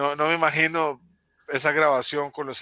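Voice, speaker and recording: Here a man talks at a fairly high pitch. His tone is bright and sharp, and his pace is fairly slow. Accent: Costa Rican. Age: 40s. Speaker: guest film fan. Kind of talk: casual chat.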